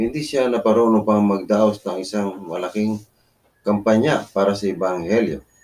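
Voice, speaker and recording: With a plain, everyday voice, a man speaks at a moderate pace in a fairly low pitch, with ordinary pitch variation. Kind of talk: reading aloud from a message.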